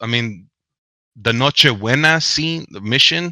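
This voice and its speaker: A man's bright, sharp voice, dry and close with no echo, on a very clean recording with a silent background. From US, Mexican American family. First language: Spanish. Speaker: author and academic. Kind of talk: interview. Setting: livestream.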